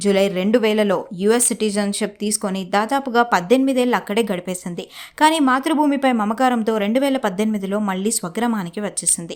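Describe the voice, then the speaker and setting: A woman has a plain, everyday voice, set at a fairly high pitch with ordinary pitch variation. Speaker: news narrator. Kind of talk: TV news narration.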